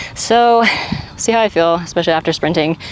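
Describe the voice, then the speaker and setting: Fairly low in pitch, a woman speaks at a fairly quick pace. Noticeable background noise is present. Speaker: fitness vlogger. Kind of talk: vlog. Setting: gym. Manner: casual, animated.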